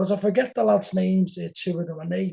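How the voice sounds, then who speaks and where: The speaker has a Liverpool accent and a dark, mellow tone. The pace is fairly quick, with ordinary pitch variation. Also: man. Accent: Scouse. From Liverpool, England. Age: 60s. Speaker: game show contestant, paranormal event organiser. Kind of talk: podcast interview.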